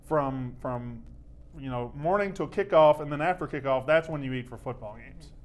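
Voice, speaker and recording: A man with a Mississippi accent, fairly high pitch, ordinary pitch variation, a moderate pace and big swings in loudness. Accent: Southern US (Mississippi). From Mississippi, US South. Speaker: sports podcast host. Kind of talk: casual chat. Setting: studio.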